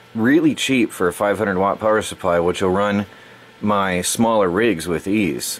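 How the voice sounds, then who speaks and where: Through noticeable background noise, a man with a fairly low voice talks at a fairly slow pace with ordinary pitch variation. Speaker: electronics and crypto mining youtuber. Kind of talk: unboxing tutorial. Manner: halting, with fillers; casual.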